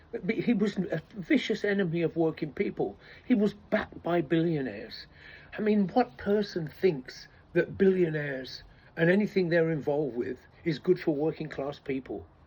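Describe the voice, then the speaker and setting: This man has a high pitch and a dark, mellow tone, with an English accent. His intonation is lively and his pace moderate. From England. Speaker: political commentator. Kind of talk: casual monologue. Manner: halting, many false starts.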